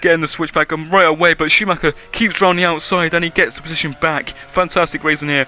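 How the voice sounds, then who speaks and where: A fairly high-pitched man talking very fast over noticeable background noise. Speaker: gaming YouTuber. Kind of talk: gameplay commentary. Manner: animated.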